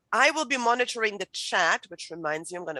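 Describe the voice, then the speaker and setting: Recorded dry and close with no echo over a quiet background, a woman with a German accent speaks fairly quickly in a medium pitch with ordinary variation and a bright, sharp tone. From Germany. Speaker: writing instructor. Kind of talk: lecture.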